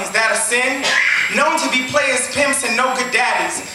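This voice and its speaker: Music plays in the background. The speaker keeps a moderate pace. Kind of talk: spoken word poetry performance. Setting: live poetry venue.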